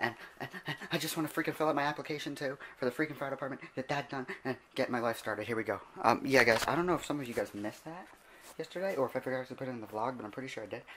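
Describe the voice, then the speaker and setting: Speaking very fast, a man holds a medium pitch with ordinary pitch variation. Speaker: vlogger. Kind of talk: casual vlog.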